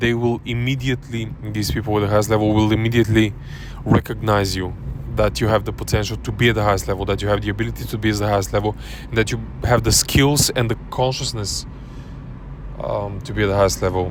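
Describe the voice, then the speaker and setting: Noticeable background noise sits under a man with a non-native accent who talks at a very fast pace with ordinary pitch variation. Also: fairly low pitch for a man. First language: not English. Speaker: self-help coach. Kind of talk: casual talk to camera. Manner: halting, many repetitions and fillers.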